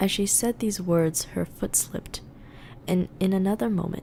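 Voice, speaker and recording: Speaking at a fairly slow pace, a woman uses a fairly low pitch and fairly even intonation, her tone dark and mellow. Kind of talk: ASMR book reading, meditative. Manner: soft-spoken, whispered, relaxing.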